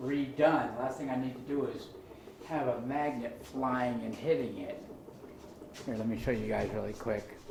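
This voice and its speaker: Long, frequent pauses from a man at medium pitch with fairly even intonation, audible room echo and noticeable background noise. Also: moderate pace. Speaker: maker and tinkerer. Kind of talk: casual demonstration video. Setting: workshop. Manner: casual, rambling. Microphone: sound quality problems.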